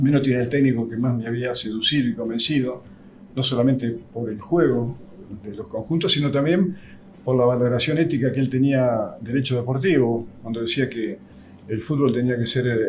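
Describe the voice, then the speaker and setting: A man at medium pitch with ordinary pitch variation, talking at a fairly quick pace amid audible room echo. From Argentina, Buenos Aires province (Lincoln). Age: 70s. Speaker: physical trainer. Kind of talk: interview testimony.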